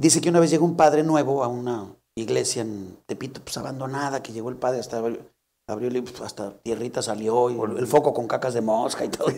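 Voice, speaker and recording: A dark, mellow tone comes through at a fairly quick pace with ordinary pitch variation. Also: man, medium pitch for a man, big swings in loudness. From León, Guanajuato, Mexico. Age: 50s. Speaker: comedian. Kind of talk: casual comedic chat.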